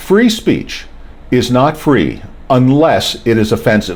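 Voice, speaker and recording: A man with an American accent, animated in tone, with very wide pitch swings, noticeable background noise and audible room echo. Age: 60s. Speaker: podcast host. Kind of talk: opinion monologue.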